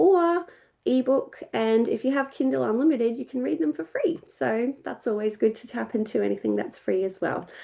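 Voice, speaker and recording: Speaking at a moderate pace in an Australian accent, a woman with a fairly high voice and a dark, mellow tone moves through very wide pitch swings. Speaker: ghostwriter and writing mentor. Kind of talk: workshop presentation. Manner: casual, many filler words.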